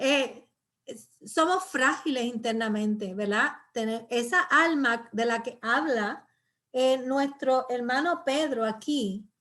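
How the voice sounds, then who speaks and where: A woman speaks at a very slow pace in a high, bright, sharp voice. Her pitch varies in an ordinary way. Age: 60s. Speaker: pastor and Bible teacher. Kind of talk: Bible study teaching. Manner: halting, many fillers.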